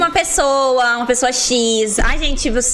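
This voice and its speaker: Noticeable background noise accompanies speech delivered at a moderate pace with ordinary pitch variation. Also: woman. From Curitiba metro area, southern Brazil. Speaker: breakdancer. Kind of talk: casual chat.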